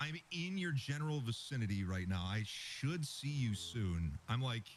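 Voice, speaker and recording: Somewhat breathy and at a medium pitch, a man's voice makes very wide pitch swings while its loudness stays very even. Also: moderate pace. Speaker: gamer. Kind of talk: casual chat.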